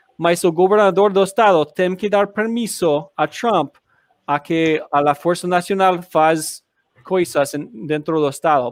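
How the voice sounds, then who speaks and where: The sound is dry and close, with no echo. A man with a high pitch speaks at a fairly slow pace. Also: ordinary pitch variation. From United States. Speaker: activist. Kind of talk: interview. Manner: halting.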